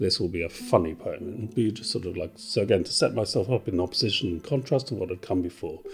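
A man talks at a very fast pace in a fairly low pitch. His voice is somewhat breathy. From Wales. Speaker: video producer and poet. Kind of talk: interview. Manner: halting.

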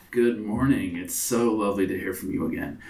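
A raspy, put-on character voice at a fairly quick pace. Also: man, medium pitch for a man. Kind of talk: polite, courteous. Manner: smooth, greeting.

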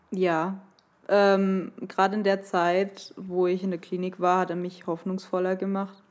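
At a fairly slow pace, a woman talks at medium pitch with monotone, flat intonation. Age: 20s. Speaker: podcast guest, listener. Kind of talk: personal testimony.

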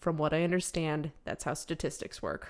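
On a very clean recording with a silent background, a woman with a very deep, low pitch speaks in a monotone, flat intonation. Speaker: podcast co-host. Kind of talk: casual podcast chat.

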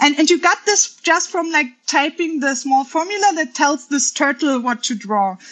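A woman with a German accent and a high pitch, at a moderate pace with lively intonation and hardly any pauses. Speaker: software engineer. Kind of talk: casual chat. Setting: video call. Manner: halting.

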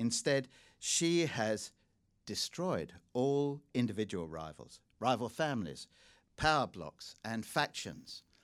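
Speaking very slowly at a medium pitch, a man makes very wide pitch swings in a very clean recording with a silent background. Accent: slight English. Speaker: journalist and China commentator. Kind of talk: public lecture and Q&A. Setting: stage with audience.

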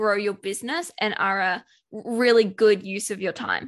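A woman with an Australian accent speaks at a moderate pace with fairly even intonation. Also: quiet background. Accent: Australian, noticeable. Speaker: business productivity expert and virtual assistant. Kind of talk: interview conversation.

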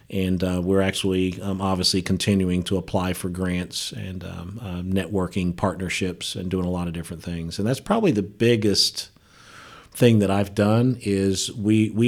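With an American accent, a man speaks at a very deep, low pitch, keeping fairly even intonation at a moderate pace. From Ohio (Dayton). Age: 50s. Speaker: nonprofit executive and professor. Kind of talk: interview conversation. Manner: halting, many fillers.

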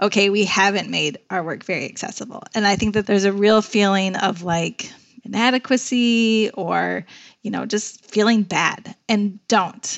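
With an American accent, a woman talks in a normal speaking voice at medium pitch, with fairly even intonation and a moderate pace. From Chicago. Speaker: nonprofit executive director. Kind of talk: interview conversation.

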